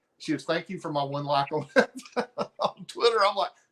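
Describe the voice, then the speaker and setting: With a Southern US accent, a man talks using ordinary pitch variation. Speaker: comic book cover artist. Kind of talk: interview conversation.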